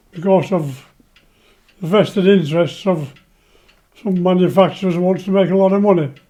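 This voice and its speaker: A man's high-pitched voice with a dark, mellow tone and an English accent, fairly even in intonation, at a fairly quick pace with long, frequent pauses. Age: 90s. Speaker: retired train driver, cancer patient. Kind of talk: personal testimony interview.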